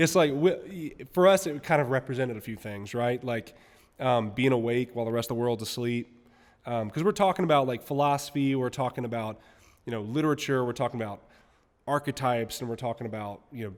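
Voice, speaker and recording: A man with an American accent and a plain, everyday voice speaks at a fairly quick pace, his medium pitch showing ordinary variation. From US South, Mississippi. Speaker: musician and jiu-jitsu competitor. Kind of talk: podcast interview.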